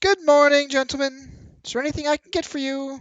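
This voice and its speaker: Very fast, high-pitched put-on character voice. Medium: actual play. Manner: polite, brief.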